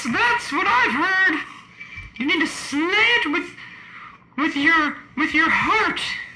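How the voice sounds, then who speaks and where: A female-sounding put-on character voice at an extremely high pitch moves at a very slow pace with long, frequent pauses. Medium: stage play.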